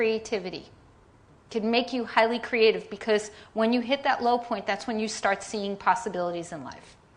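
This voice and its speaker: Animated in tone, a woman with a New York accent speaks at a fairly high pitch with ordinary pitch variation. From New York, Staten Island. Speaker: design leader and keynote speaker. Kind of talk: keynote presentation. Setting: conference stage with audience.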